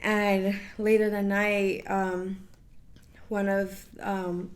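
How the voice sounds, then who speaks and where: A woman at medium pitch, flat and monotone in intonation, with audible room echo. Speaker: college sorority member. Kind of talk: casual interview.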